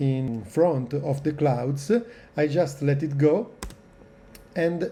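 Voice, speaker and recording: A man with an Italian accent speaks very slowly, his pitch fairly high for a man and his pitch variation ordinary. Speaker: video editing tutorial maker. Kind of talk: tutorial. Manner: hesitant, many filler sounds.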